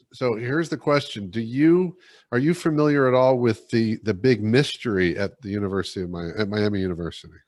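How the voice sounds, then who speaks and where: A man's medium-pitched voice with an American accent, fairly quick and lively in intonation, over a quiet background. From Ohio, near Dayton. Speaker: leadership coach and speaker. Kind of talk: casual interview chat.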